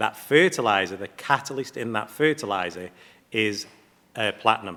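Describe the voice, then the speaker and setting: A man speaks with an English accent. His tone is bright and sharp. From England. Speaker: platinum refining company representative. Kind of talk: panel presentation.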